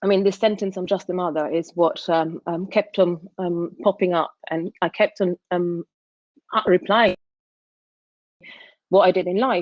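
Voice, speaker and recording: Pausing long and often, a woman with an Italian accent speaks at a fairly slow pace and medium pitch with fairly even intonation. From Sicily, Italy. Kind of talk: casual chat; talk at an online conference. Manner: hesitant, many fillers.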